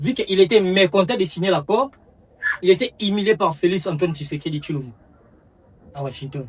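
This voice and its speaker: With a Congolese accent, a man speaks high-pitched at a moderate pace, his intonation lively. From DR Congo. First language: Lingala (speaking French). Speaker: comedian. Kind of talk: comic monologue. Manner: halting.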